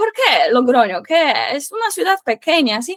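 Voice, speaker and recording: The sound is dry and close with no echo as a woman speaks at a fairly slow pace. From Poland. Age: 20s. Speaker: Spanish teacher. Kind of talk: interview. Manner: halting, many fillers.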